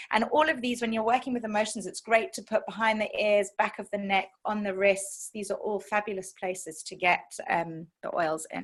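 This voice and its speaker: A woman's somewhat breathy, fairly high voice with ordinary pitch variation and hardly any pauses. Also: big swings in loudness. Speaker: essential oils educator. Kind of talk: online class. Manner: fast.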